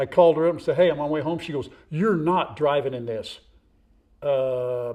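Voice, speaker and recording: A man's dark, mellow voice, fairly high in pitch, at a moderate pace, with big swings in loudness. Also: ordinary pitch variation. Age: 60s. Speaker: farm vlogger. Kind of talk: casual chat. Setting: outdoors. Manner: animated.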